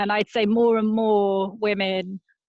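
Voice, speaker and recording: A woman speaks in a British accent at a very slow pace. Her intonation stays monotone and flat. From Britain. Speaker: travel journalist and author. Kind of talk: casual interview chat.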